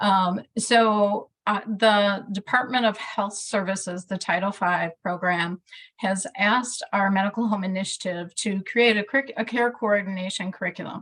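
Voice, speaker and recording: A woman with a strong Midwestern accent talks at a moderate pace and medium pitch, her intonation fairly even and hardly any pauses. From US Midwest. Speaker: care coordination program staff. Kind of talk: online meeting discussion.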